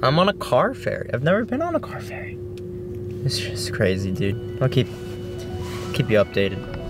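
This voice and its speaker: Over music in the background, a man talks at a moderate pace with long, frequent pauses, the sound dry and free of echo. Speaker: vlogger. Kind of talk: casual vlog chat. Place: car. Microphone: phone near.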